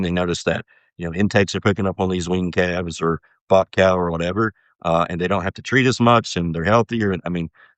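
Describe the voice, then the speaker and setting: A man with an American accent, a very deep, low pitch, fairly even intonation and a fairly quick pace. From US Midwest, southern Ohio. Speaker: livestock nutrition scientist. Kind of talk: podcast interview. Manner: halting, many fillers.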